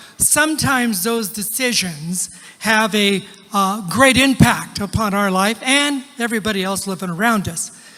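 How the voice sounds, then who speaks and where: A man speaks in a raised, projected voice at a high pitch, with ordinary pitch variation. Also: moderate pace. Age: 70s. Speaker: pastor. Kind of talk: sermon.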